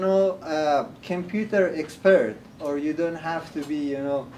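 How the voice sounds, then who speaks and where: A man with a non-native accent talks at a fairly slow pace amid noticeable background noise. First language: not English. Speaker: workshop presenter, community center staff member. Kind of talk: workshop presentation. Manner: hesitant, many fillers.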